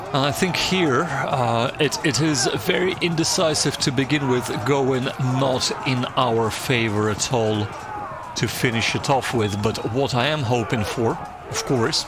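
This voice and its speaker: A man with a Slavic accent, medium pitch, ordinary pitch variation and very even loudness at a fairly slow pace, with noticeable background noise and audible room echo. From former Soviet Union. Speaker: strategy game YouTuber. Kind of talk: gameplay commentary. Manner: hesitant, many fillers and repetitions.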